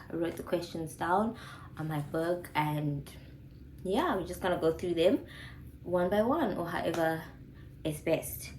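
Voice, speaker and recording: Amid noticeable background noise and audible room echo, a woman speaks fairly slowly in a fairly low pitch with ordinary pitch variation. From South Africa. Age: 20s. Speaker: YouTuber, former physiotherapist. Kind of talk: casual Q&A vlog chat.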